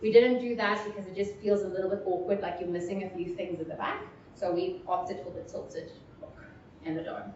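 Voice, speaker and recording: Against noticeable background noise and audible room echo, a woman speaks at a medium pitch. Her intonation is fairly even, but her loudness swings widely. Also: fairly quick pace. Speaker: VR filmmaker. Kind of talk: technical presentation Q&A.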